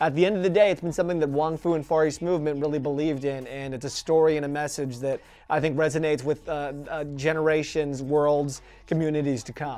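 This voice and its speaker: A man talks very quickly with fairly even intonation. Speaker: interviewee. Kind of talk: interview answer. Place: studio. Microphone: lapel.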